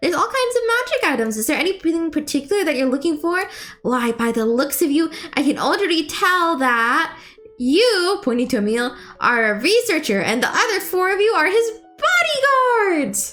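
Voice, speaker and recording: A woman's put-on character voice at an extremely high pitch with very wide pitch swings, faint music in the background. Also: moderate pace. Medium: actual play. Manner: bubbly, enthusiastic.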